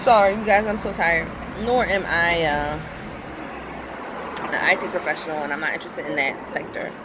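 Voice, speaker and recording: Noticeable background noise and audible room echo surround this recording. A fairly low-pitched woman speaks with long, frequent pauses. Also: ordinary pitch variation, fairly quick pace. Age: 30s. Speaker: nurse. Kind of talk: casual vlog monologue.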